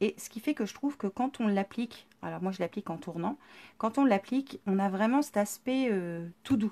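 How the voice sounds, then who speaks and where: Lively intonation marks this woman's medium-pitched voice, which has a dark, mellow tone. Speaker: scrapbooking workshop presenter. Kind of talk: live-stream tutorial.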